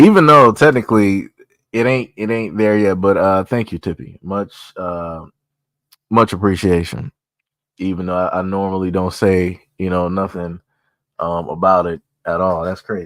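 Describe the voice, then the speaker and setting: On a very clean recording with a silent background, a man with a very deep, low pitch speaks in a relaxed tone at a moderate pace, with ordinary pitch variation and long, frequent pauses. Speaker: live streamer. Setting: live stream. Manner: casual, relaxed.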